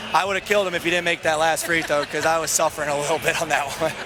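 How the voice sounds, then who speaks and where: A man's high-pitched voice at a very fast pace, fairly even in intonation, with music in the background. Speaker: basketball coach. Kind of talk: post-game interview. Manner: talkative.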